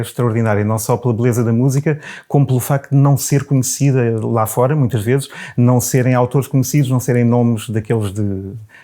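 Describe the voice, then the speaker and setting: In a European Portuguese accent, the speaker talks at a fairly quick pace with a dark, mellow tone and fairly even intonation on a very clean recording with a silent background. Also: man. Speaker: baritone singer and choir director. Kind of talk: interview answer.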